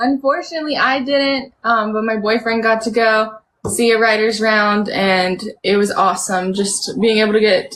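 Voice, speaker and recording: An ordinary speaking voice with an American accent, moderate pace and ordinary pitch variation. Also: woman. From US South, North Carolina (Charlotte). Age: 20s. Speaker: singer-songwriter. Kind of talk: casual interview. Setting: video call live stream from home.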